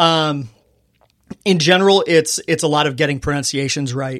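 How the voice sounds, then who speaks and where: In a very clean recording with a silent background, a man with a Californian accent talks at a moderate pace. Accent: Californian American. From US West Coast, Inland Empire, California. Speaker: arena public address announcer. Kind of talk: casual interview chat.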